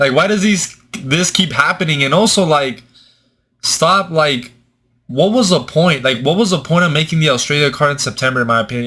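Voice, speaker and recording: Speaking with a Mexican accent, a man uses a fairly high pitch, a bright, sharp tone and an animated tone at a fairly quick pace. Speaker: MMA commentator, YouTuber. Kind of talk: casual commentary.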